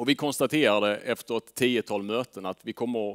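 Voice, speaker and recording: A man talks at a medium speed with ordinary pitch variation, the background quiet. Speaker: fund manager; presenter. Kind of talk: presentation to audience. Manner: hesitant fillers. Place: meeting room. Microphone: headset.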